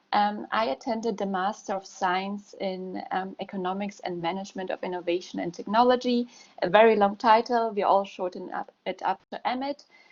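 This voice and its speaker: A woman with a German accent, medium in pitch, with ordinary pitch variation, a moderate pace and hardly any pauses. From Germany. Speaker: university alumna. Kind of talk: testimony.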